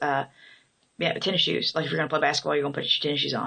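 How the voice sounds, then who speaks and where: A woman with a southern Illinois accent speaks in a very deep, low voice with a bright, sharp tone. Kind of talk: casual talk to camera, accent tag. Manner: hesitant, many fillers.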